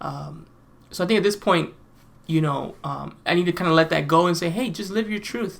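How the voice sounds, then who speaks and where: The man's voice sits fairly high in pitch, with ordinary pitch variation. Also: very clean recording, silent background. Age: 30s. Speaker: professional musician and piano teacher. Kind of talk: casual vlog monologue. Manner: hesitant, many fillers.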